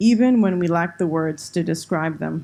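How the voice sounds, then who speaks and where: Spoken with a Spanish accent at a moderate pace, the voice has a dark, mellow tone against a quiet background. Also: woman. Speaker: university administrator. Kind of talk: formal closing speech. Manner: formal.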